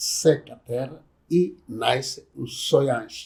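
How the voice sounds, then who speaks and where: Somewhat breathy and very slow, a man speaks at medium pitch with ordinary pitch variation. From Angola, Soyo (Zaire province). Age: 70s. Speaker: traditional community chief. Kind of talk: oral history interview.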